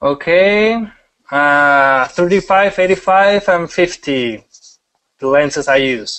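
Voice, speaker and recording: A man with a strong Mexican accent and a high pitch speaks at a very slow pace with lively intonation and very even loudness. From Mexico. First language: Spanish. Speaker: wedding photographer. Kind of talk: webinar presentation. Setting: online webinar broadcast. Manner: halting, many repetitions; casual, animated.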